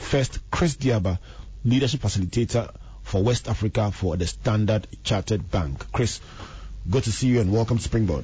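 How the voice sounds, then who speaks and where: Using vocal fry, a man with a fairly low pitch keeps his loudness very even. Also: ordinary pitch variation, moderate pace. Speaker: radio host and reverend. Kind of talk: radio talk show. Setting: radio studio.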